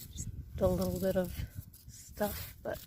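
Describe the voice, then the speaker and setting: Soft-spoken, a woman talks at a very slow pace. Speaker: gardening channel host. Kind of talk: gardening tutorial talk to camera.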